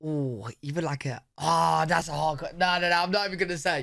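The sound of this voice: A bright, sharp tone with vocal fry, a fairly quick pace and ordinary pitch variation, on a very clean recording with a silent background. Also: man, fairly high pitch for a man.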